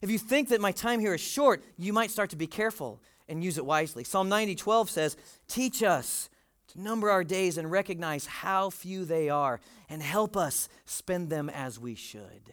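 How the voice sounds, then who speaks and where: The recording is very clean, with a silent background. A man with a high pitch talks at a moderate pace with lively intonation. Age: 40s. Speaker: pastor. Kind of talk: sermon.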